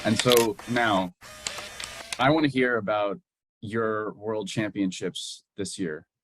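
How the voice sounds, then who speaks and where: Over music in the background, a man talks very slowly at a fairly low pitch with ordinary pitch variation and long, frequent pauses. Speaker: fencing interviewer. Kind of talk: interview questions.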